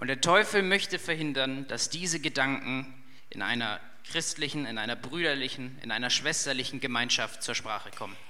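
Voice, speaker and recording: A man's medium pitch with ordinary variation, a moderate pace and audible room echo. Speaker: youth leader giving a sermon. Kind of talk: sermon.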